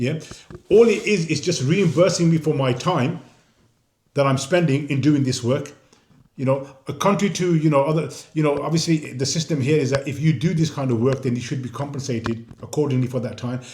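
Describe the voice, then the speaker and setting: Here a man with a Birmingham accent speaks at a fairly high pitch, somewhat breathy. His pace is fairly quick and his pitch varies in an ordinary way. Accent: Birmingham (Brummie) English. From Birmingham, England. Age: 60s. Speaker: independent council candidate. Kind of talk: interview. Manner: repetitive, stammering restarts.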